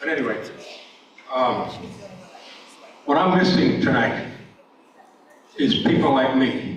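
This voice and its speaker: In an American accent, a man with a fairly high pitch and ordinary pitch variation speaks at a fairly slow pace amid audible room echo and noticeable background noise. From New York. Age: 80s+. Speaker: public forum speaker, retired EMT. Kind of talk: public comment at a town meeting. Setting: school auditorium with audience. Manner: halting.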